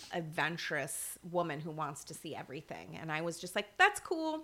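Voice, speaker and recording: A woman speaks with an American accent and a fairly low pitch. Her tone is bright and sharp. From US Midwest, Michigan. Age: 50s. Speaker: energy healer. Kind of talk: casual chat.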